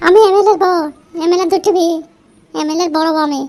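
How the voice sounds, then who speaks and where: In a cartoonish character voice, a woman speaks at a very fast pace with extremely high pitch and fairly even intonation. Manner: quick-tempered, defiant.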